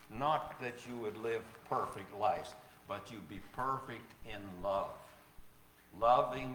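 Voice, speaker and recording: A man speaks at a very slow pace with long, frequent pauses, ordinary pitch variation and big swings in loudness, with audible room echo. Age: 80s+. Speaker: preacher. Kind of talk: sermon. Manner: halting.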